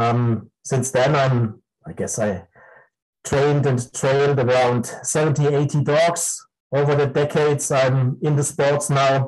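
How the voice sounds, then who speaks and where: Speaking with a German accent, a man with a fairly high, somewhat breathy voice keeps a fairly slow pace, very even loudness and fairly even intonation. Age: 50s. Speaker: dog breeder and breed judge. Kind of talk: interview. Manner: halting.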